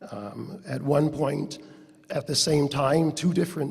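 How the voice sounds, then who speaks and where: A man speaks with a somewhat breathy voice. His pitch sits fairly high for a man. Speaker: award presenter at gala. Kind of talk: award introduction speech.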